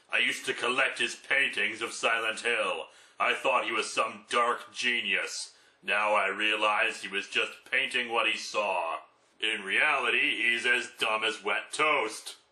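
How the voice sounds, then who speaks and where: At a fairly slow tempo, someone performs in a put-on character voice. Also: man, medium pitch for a man. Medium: solo performance.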